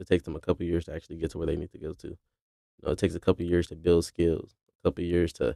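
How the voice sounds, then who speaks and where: A man's very deep, low voice with a dark, mellow tone and vocal fry, at a very fast pace, in a dry, close sound with no echo. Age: 20s. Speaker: commentary YouTuber. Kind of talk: unscripted casual talk to camera. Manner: hesitant, with repeated words and pauses.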